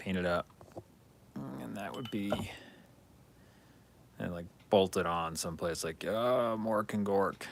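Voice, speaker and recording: Quietly and at a fairly slow pace, a man talks with long, frequent pauses. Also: fairly low pitch for a man, ordinary pitch variation. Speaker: hobby streamer building miniature terrain. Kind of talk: casual live-stream chat while crafting. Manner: quiet while concentrating.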